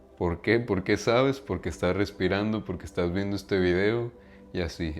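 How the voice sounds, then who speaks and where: A man speaks with a fairly low pitch and ordinary pitch variation. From Mexico. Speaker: self-improvement YouTuber. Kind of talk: monologue to camera. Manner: casual, conversational.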